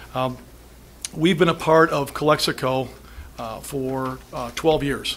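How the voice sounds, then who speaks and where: A man's fairly high-pitched voice at a fairly slow pace, with long, frequent pauses, fairly even intonation, big swings in loudness and noticeable background noise. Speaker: business owner presenting to school board. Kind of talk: public comment presentation at board meeting. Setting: school board meeting room.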